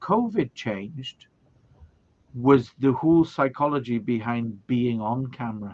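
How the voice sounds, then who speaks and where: A man with a Welsh accent, medium pitch and lively intonation. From Wales. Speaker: video production trainer. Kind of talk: casual interview.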